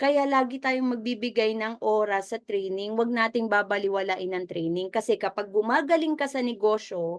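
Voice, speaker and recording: A woman speaks at a fairly slow pace, her pitch fairly high with ordinary variation. The background is quiet. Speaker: business mentor. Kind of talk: motivational training talk. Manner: conversational, audience-engaging.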